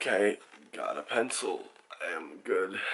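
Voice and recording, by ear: A man puts on a raspy character voice at an extremely high pitch. He talks at a fairly slow pace.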